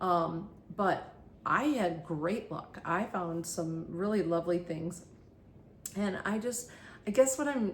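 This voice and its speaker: A woman's fairly low voice rings with audible echo from the room. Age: 60s. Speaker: thrift haul vlogger. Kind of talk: casual vlog monologue. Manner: halting, many fillers.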